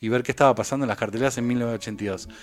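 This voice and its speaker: With a Rioplatense accent, a man speaks using ordinary pitch variation. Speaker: film commentator. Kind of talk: casual chat.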